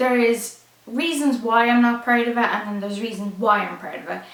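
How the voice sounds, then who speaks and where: This woman has an Irish accent and a fairly high pitch, speaking at a moderate pace. Noticeable background noise and audible room echo are present. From Ireland. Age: 20s. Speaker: YouTuber, fashion designer. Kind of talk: casual chat.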